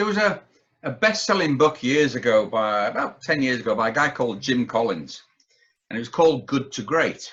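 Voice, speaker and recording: With a Yorkshire accent, a man of medium pitch talks at a fairly quick pace with very wide pitch swings. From Yorkshire, northern England. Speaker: businessman and entrepreneur, army veteran. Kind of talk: podcast interview.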